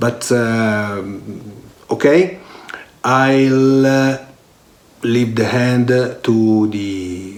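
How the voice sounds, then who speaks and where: Audible room echo surrounds a man speaking with an Italian accent. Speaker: online course instructor, IT director. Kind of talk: course introduction. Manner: halting, many fillers.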